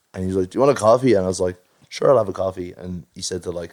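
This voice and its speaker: A man's very deep, low voice at a very fast pace, with ordinary pitch variation. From Ireland, Dublin (Finglas, North Side). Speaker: musician. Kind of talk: casual chat. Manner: animated.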